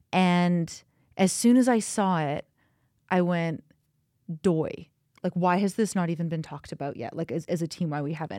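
Fairly low in pitch with a dark, mellow tone, a woman speaks with a Canadian accent at a fairly quick pace. Her pitch varies in an ordinary way, and the sound is dry and close with no echo. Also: very clean recording, silent background. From British Columbia, Kamloops. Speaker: podcast producer and researcher. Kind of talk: casual panel discussion.

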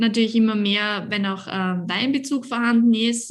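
A woman's somewhat breathy voice with fairly even intonation. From Lower Austria. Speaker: winemaker. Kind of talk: casual interview.

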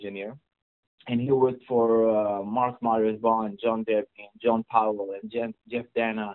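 In an Israeli accent, a man talks fairly slowly at a medium pitch with monotone, flat intonation. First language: Hebrew. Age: 20s. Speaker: mixing engineer. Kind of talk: interview. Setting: California.

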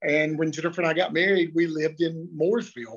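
Speaking with a Southern US accent, a man uses a fairly high pitch. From US South, North Carolina (Lexington). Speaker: pastor. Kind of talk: casual chat.

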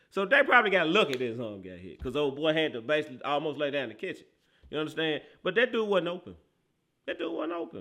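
Animated man with a fairly high pitch and vocal fry, talking at a very fast pace with very wide pitch swings and big swings in loudness. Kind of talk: sports talk analysis of a game, breaking down plays. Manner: animated, loud, slangy, emphatic and repetitive.

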